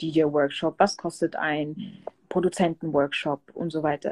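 Here is a plain, everyday voice from a woman, fairly low in pitch and fairly slow. The sound is dry and close, with no echo. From southern Germany, Pforzheim. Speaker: DJ and music producer. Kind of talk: casual interview.

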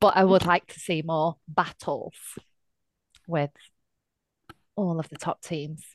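A fairly low-pitched woman with a Lancashire accent, very slow and monotone with flat intonation, long, frequent pauses, and a dry, close sound with no echo. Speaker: podcast co-host. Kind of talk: casual chat.

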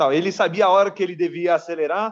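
A man's voice comes through at a moderate pace, sounding dry and close with no echo. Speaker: football fan guest. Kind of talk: casual chat.

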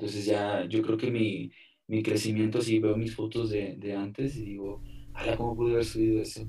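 In a room with audible echo, a man speaks at a moderate pace and a fairly low pitch, somewhat breathy, with a dark, mellow tone and monotone, flat intonation. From Mexico, Altamira, Tamaulipas. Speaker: photographer. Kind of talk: interview. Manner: halting, repetitive.

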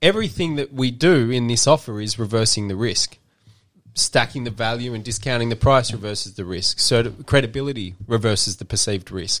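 With a normal speaking voice, this man sits at a medium pitch. His pace is fairly quick and his pitch varies in an ordinary way. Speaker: podcast host, marketing agency. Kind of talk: casual podcast chat, explanatory. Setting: podcast studio, video multicam. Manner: rambling, filler-heavy, jokey; mock infomercial pitchman, teasing sales patter.

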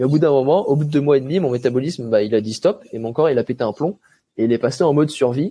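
A man with a dark, mellow tone, fairly high pitch, ordinary pitch variation, and a very fast pace. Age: 20s. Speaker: athlete. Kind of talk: interview. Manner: casual.

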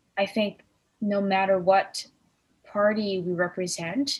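At a fairly slow pace, a woman speaks in a somewhat breathy voice of medium pitch with fairly even intonation. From Korean heritage. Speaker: podcast co-host. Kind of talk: casual chat.

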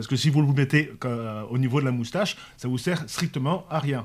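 A somewhat breathy man's voice, fairly high in pitch, with ordinary pitch variation. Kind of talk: casual panel discussion. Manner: halting, many repeated words.

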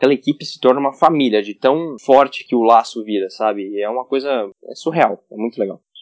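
A man with an unremarkable speaking voice talks at a fairly quick pace and medium pitch. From Goiânia, Brazil. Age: 20s. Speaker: racing driver. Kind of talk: interview.

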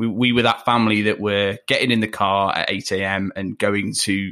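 A man speaks with a Leicester accent in a fairly low pitch, his tone bright and sharp. His intonation stays monotone and flat. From Leicester, England. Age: 20s. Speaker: podcast guest, fellow podcaster. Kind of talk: casual interview chat. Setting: remote recording from home. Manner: hesitant, many fillers.

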